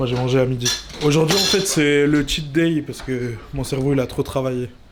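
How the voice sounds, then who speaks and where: Noticeable background noise sits behind a man with fairly high pitch. He talks at a fairly quick pace with ordinary pitch variation. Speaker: video editor vlogger. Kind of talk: casual vlog.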